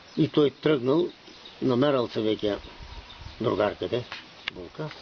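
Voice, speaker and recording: A man with an Asia Minor accent speaks at a very slow pace with lively intonation. Noticeable background noise runs under his voice. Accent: Asia Minor Bulgarian dialect. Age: old. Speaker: folk storyteller. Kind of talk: telling traditional parables.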